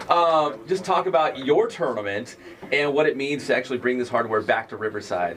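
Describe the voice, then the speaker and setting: Amid noticeable background noise, a man speaks loudly and at a fairly quick pace, his fairly high pitch making very wide swings. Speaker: sports radio host. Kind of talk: radio interview. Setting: radio studio.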